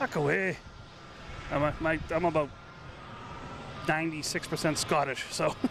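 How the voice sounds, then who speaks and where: This man has an American accent and a fairly slow pace. Noticeable background noise is present. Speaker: plane-spotting livestreamer. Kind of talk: live commentary. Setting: outdoors, airport parking garage roof. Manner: casual, conversational.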